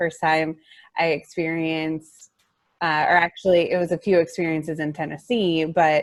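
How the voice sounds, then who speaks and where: A woman with an American accent has an unremarkable speaking voice. Her pitch sits fairly low and her pace is moderate. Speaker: adoptive mother. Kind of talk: casual group discussion.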